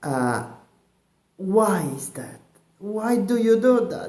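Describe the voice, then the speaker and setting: A man with an Italian accent, audible room echo around him. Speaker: comedian. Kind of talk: comic monologue. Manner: halting.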